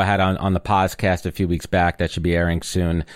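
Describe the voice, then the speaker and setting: A man with a very deep, low voice talks at a very fast pace. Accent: New York. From New York (Brooklyn, Long Island suburbs). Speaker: podcaster and marketer. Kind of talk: interview conversation.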